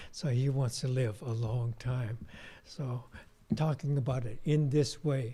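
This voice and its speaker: A man speaks at a fairly slow pace and a medium pitch. His tone is dark, mellow and somewhat breathy. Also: fairly even intonation. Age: 70s. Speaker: Buddhist minister giving dharma talk. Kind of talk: dharma talk. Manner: casual, conversational.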